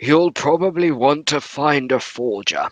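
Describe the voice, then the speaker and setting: Using a raspy, put-on character voice, a man talks at a fairly slow pace in a fairly high pitch with ordinary pitch variation. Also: dry, close sound with no echo. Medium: actual play. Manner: hesitant, stammering.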